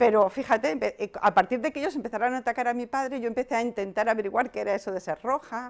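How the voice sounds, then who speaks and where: The talking is very fast with hardly any pauses and ordinary pitch variation. The recording is very clean, with a silent background. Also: woman, fairly high pitch for a woman. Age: 60s. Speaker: activist, head of an anti-islamophobia group. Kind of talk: interview. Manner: hesitant, with fillers.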